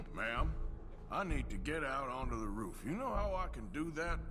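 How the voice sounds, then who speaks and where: A man's put-on character voice at a moderate pace, over loud background noise. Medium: game stream. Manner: gruff, laconic, dry.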